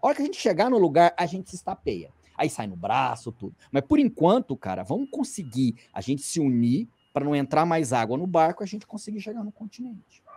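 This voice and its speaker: Hardly any pauses break up this fairly quick-paced speech. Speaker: climbing magazine editor; podcast guest. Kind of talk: casual commentary. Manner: conversational, with many fillers. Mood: earnest, persuasive. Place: home room. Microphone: video call.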